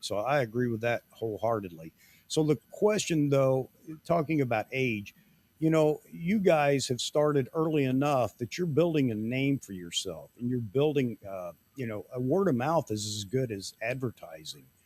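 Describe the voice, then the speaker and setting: A man speaks at a moderate pace in a plain, everyday voice, his medium pitch carrying lively intonation, with a dry, close sound and no echo. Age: 60s. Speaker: live show host, photographer. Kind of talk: casual chat.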